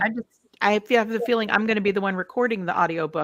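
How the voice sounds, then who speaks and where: Talking at a very fast pace in an American accent, a woman has a fairly high pitch and ordinary pitch variation, with a dry, close sound and no echo. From Florida. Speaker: podcast co-host.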